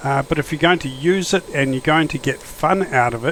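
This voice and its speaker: Noticeable background noise sits behind a voice with an Australian accent and ordinary pitch variation. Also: man. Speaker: flight simulator YouTuber. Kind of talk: gameplay commentary. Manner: casual, hesitant with fillers.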